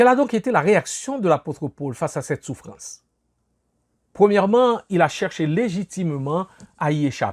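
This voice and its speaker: A man with a Haitian accent and a high pitch, very wide pitch swings, moderate pace, and a dry, close sound with no echo. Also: very clean recording, silent background. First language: Haitian Creole (speaking French). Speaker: pastor. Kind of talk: sermon.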